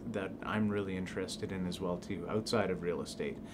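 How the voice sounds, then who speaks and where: Over noticeable background noise, a man with a Canadian Prairie accent talks in a fairly low pitch with monotone, flat intonation. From southern Manitoba, Canada. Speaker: real estate agent. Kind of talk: self-introduction video. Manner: hesitant, many fillers. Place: office.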